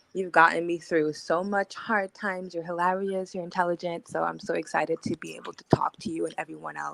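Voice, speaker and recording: A woman with a slight Virgin Islands accent talks at a fairly quick pace with hardly any pauses. The sound is dry and close with no echo, and her loudness swings widely. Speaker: caller. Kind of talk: casual chat.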